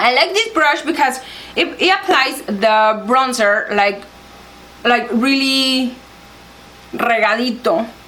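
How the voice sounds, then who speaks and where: Amid noticeable background noise and audible room echo, a woman with a Spanish accent speaks very slowly in a high, raised and projected voice, with lively intonation, very even loudness and long, frequent pauses. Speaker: beauty vlogger. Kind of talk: makeup tutorial. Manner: halting, searching for words.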